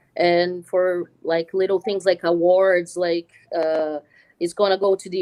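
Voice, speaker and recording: A woman with a Portuguese accent speaks at a fairly low pitch in a monotone, flat intonation. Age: 30s. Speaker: film editor. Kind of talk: interview. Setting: live stream at a school. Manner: halting, many fillers.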